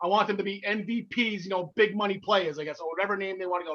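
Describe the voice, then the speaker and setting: This man speaks very fast in a high voice. He has a New Jersey accent. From North Jersey, US. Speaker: wrestling podcast co-host. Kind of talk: casual chat. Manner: halting.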